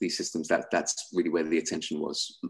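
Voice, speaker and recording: A man speaks with a London accent. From England, London. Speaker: sales executive at a fintech company. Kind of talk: webinar presentation.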